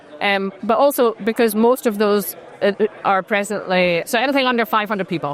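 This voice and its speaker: A woman with a Scottish accent, fairly high pitch and ordinary pitch variation, over noticeable background noise. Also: fairly quick pace. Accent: non-Dutch accent, Scottish. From Scotland. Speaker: startup founder and CEO. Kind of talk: interview conversation. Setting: robotics conference.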